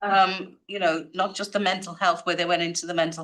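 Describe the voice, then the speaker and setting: The speaker has a Liverpool accent. The intonation is lively. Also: woman. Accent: Liverpool (Scouse) English. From northern England, Liverpool. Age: 70s. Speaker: community advocate. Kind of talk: audience question at media briefing. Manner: rambling, conversational.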